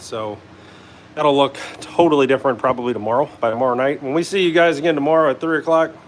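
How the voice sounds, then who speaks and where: Ordinary pitch variation in a man's voice, set against noticeable background noise. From Northern Kentucky / Cincinnati area. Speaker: hot rod builder and livestream host. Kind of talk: live workshop stream. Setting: home garage. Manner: casual, many fillers.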